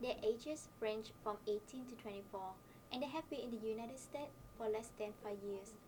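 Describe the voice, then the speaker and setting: Speaking at a fairly quick pace, a woman with a fairly high pitch talks in a Vietnamese accent. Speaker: university student. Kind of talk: scripted presentation.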